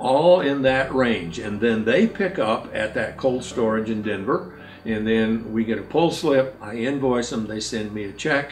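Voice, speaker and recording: Fairly slow, medium-pitched male speech with ordinary pitch variation, over noticeable background noise. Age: 70s. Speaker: farmer. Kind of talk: casual interview talk.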